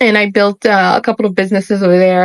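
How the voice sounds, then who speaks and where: This woman has a Haitian accent and a medium pitch. She speaks at a fairly quick pace. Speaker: spiritual YouTuber. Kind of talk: monologue to camera. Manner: animated.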